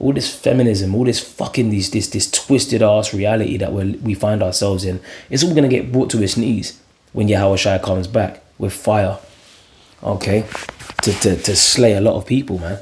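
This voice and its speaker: Quiet and fairly low-pitched, a man speaks at a moderate pace over noticeable background noise. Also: ordinary pitch variation. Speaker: religious video preacher. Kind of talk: scripture commentary monologue. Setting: at home, early morning. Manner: quiet, talking low.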